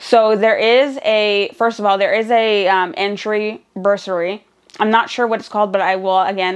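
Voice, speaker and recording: A woman speaks with a Nova Scotian accent at a moderate pace. Her fairly high voice keeps fairly even intonation. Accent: Canadian (Nova Scotian). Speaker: vlogger and student single mother. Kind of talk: casual vlog talk.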